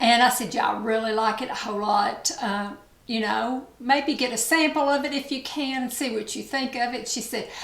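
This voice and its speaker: A woman with an East Tennessee accent speaks at high pitch and a moderate pace, her intonation fairly even. Noticeable background noise and audible room echo surround her. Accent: Southern US (East Tennessee). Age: 60s. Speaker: beauty vlogger. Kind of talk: casual chat.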